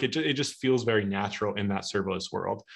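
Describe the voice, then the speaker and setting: Against a quiet background, a man with an American accent talks at a very fast pace. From US Midwest (Omaha, Nebraska); Nebraska. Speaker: tech speaker, database expert; speaker. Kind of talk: technical webinar talk. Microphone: video call.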